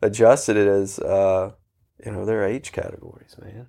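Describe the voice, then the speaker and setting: A man talks at a fairly quick pace in a normal speaking voice, pitched fairly low. His intonation is fairly even, and the recording is very clean with a silent background. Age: 30s. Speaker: running coach. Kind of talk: casual chat.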